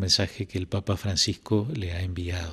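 With a quiet background, a man talks at a moderate speed. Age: 60s. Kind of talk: interview. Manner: hesitant with frequent fillers. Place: home room. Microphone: handheld.

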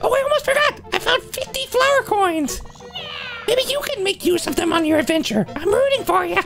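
At a moderate pace, an extremely high, put-on character voice comes through over clear background noise.

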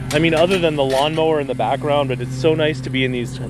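Spoken at a fairly quick pace, the clip has a dry sound with no echo and noticeable background noise. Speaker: scrap picker vlogger. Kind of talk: casual vlog chat. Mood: relaxed, content. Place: street.

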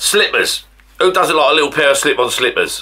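A man at a very fast pace against a quiet background. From Essex, England; England. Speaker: YouTuber. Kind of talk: casual vlog to camera. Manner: chatty, rambling. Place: home room. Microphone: camera far.

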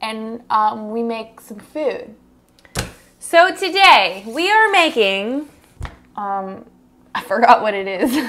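A woman speaks at a very slow pace. Her delivery has long, frequent pauses. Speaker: cooking show host. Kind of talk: casual cooking vlog chat. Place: kitchen.

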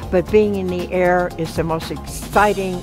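A woman speaks at a fairly slow pace over clear music in the background. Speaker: pilot. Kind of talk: interview answer. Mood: warm, reflective, fond. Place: hall.

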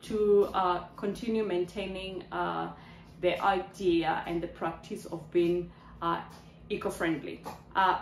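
A woman's fairly low voice, very slow and monotone with flat intonation, in a room with audible echo and light background noise. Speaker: lifestyle vlogger. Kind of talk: casual vlog chat. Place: kitchen. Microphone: phone near.

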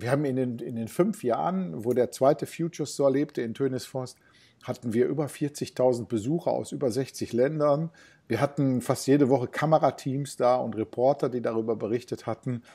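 A man's dark, mellow voice with ordinary pitch variation over a quiet background. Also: moderate pace. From Ruhr area, Germany (Bottrop); Ruhr area, Germany. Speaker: retail innovation consultant; interview guest. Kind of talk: interview. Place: home room. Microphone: earbuds.

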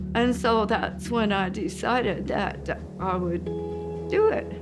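Clear music plays in the background. Over it, a woman with an American accent speaks at a very slow pace. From Utah, USA. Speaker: hunter. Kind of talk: interview answer. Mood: warm, reminiscing. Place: home room.

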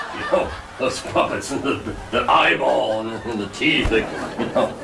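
Moderate-paced male speech with noticeable background noise. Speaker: talk show sidekick. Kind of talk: comedy talk show sketch. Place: stage. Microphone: camera far.

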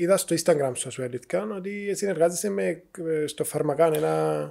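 A man speaks against a quiet background. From Cyprus. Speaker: podcast host. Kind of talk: casual interview. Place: studio. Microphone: studio mic.

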